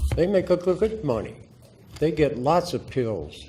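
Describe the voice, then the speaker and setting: In a room with audible echo, a man talks in a somewhat breathy voice with a dark, mellow tone. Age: 80s+. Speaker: public commenter, veteran. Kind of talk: public testimony at council meeting. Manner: animated, confrontational.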